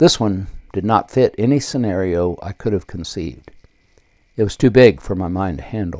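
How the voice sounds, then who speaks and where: Speaking with an American accent, a man has a dark, mellow tone and a fairly low pitch. His intonation is lively, and his loudness swings widely. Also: moderate pace, very clean recording, silent background. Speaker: podcast host and author reading his book. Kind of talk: reading aloud from own book, with devotional prayer and personal memoir passages. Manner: earnest, reverent, fervent in the prayer passage; unpolished, informal, ad-libbing while reading.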